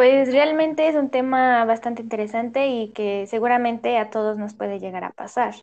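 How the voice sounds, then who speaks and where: In a normal speaking voice, a woman with a fairly high pitch talks at a moderate pace with hardly any pauses. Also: ordinary pitch variation. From Mexico, Hidalgo. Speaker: language teaching student. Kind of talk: student podcast, semi-scripted chat.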